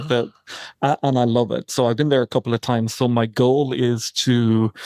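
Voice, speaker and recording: Dry and close with no echo over a quiet background, a man with an Irish accent speaks in a dark, mellow tone at a moderate pace with fairly even intonation. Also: medium pitch for a man. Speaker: tarot card reader. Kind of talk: podcast interview answer.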